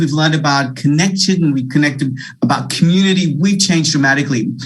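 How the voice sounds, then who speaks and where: Speaking at a fairly quick pace, a man with an Australian accent is heard through noticeable background noise and audible room echo. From Australia, Wollongong area (Illawarra), born in India. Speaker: keynote speaker, leadership consultant. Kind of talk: keynote address. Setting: video call. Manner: animated.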